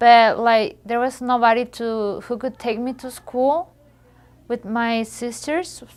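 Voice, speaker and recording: In a Spanish accent, the speaker talks at a very slow pace with fairly even intonation. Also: woman, fairly high pitch for a woman. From Mexico. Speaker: high school graduate. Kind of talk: testimony. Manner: halting.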